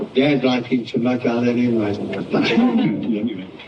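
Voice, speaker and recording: A man speaks in a rural Southwestern US accent. Noticeable background noise sits under his voice. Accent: American Southwest rural. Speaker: cowboy. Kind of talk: storytelling presentation. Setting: live audience talk. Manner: unpolished, plain-spoken.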